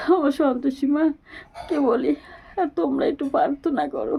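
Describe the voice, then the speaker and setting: This is a woman speaking. Her pitch sits high. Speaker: vlogger. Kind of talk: personal vlog. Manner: effortful, pained.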